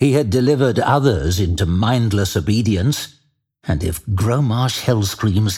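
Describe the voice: The quiet background holds nothing else. Over it comes plain reading aloud.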